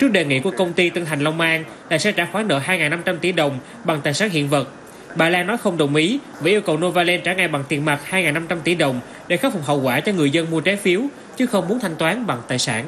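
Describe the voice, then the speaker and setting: A man talks at a very fast pace in a high pitch with ordinary variation and very even loudness, amid noticeable background noise. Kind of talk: news reading. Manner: formal.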